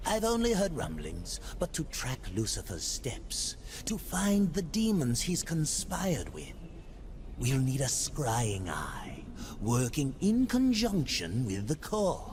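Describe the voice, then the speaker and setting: A put-on character voice comes through at middle pitch and a fairly slow pace. Loud background noise fills the recording. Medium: video game. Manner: cryptic, slow, murmuring.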